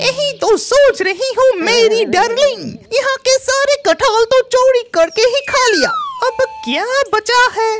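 A cartoonish character voice speaks at a moderate pace. Music plays in the background. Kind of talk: cartoon voice acting. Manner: greedy, playful, gleeful.

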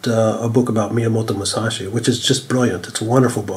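Noticeable background noise accompanies speech delivered at a fairly quick clip. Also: man. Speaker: author and editor. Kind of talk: casual interview chat.

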